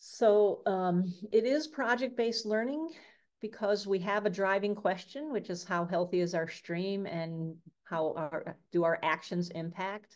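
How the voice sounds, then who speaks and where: A woman with an American accent talks at a fairly slow pace in a normal speaking voice. Her pitch sits in the middle and her intonation is lively. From Michigan, US. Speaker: science education trainer. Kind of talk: online workshop presentation.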